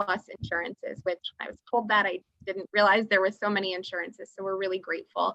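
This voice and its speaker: Bright and sharp in tone, a woman's medium-pitched voice moves at a fairly quick pace with monotone, flat intonation, captured dry and close with no echo. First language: Russian. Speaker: treatment center representative. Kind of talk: webinar presentation. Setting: video call.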